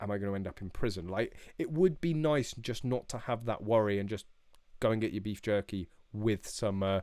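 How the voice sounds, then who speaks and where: Very fast speech comes from a man with a British accent. His pitch is fairly low and varies in an ordinary way. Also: very clean recording, silent background. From England. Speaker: shooting YouTuber. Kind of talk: live stream chat. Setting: live stream. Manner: casual, many fillers.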